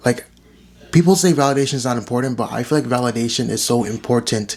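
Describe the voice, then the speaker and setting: A man rattles off words at a very fast pace while noticeable background noise fills the recording. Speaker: vlogger and writer. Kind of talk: casual vlog monologue. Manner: rambling, many fillers.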